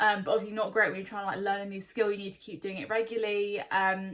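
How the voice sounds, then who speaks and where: A woman speaks at a medium pitch with a southern English accent. Her tone is bright and sharp. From Surrey, England. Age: 20s. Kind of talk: casual talk to camera.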